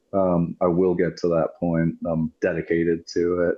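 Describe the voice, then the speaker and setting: Speaking with a West Coast accent, a man has a very deep, low pitch. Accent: American West Coast. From US West Coast, British-born. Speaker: war veteran. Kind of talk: interview. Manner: casual, many fillers.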